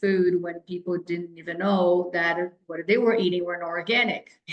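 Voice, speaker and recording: A woman speaks with a Brazilian Portuguese accent. Her pace is fairly quick. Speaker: health and fitness coach. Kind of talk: podcast interview. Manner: animated.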